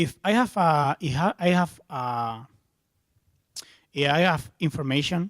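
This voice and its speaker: A fairly high-pitched man's voice with a Spanish accent, ordinary pitch variation, and a dry, close sound with no echo. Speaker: software developer, conference speaker. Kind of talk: tech conference talk Q&A. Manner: halting.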